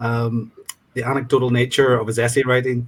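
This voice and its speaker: A man with a Northern Irish accent speaks at a moderate pace, his medium-pitched voice somewhat breathy. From Northern Ireland, County Fermanagh. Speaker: student reader in literary exchange. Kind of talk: discussion panel answer. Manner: hesitant, many ums.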